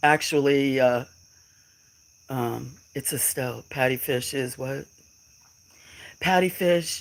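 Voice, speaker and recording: At a fairly slow pace, a speaker with an American accent is heard in a very clean recording with a silent background. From western US. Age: 60s. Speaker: farmer and livestreamer. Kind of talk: casual live stream chat. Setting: live stream. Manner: halting.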